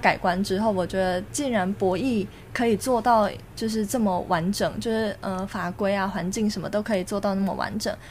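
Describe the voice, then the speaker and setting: A woman at a moderate pace. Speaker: online gambling industry worker. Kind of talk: casual chat.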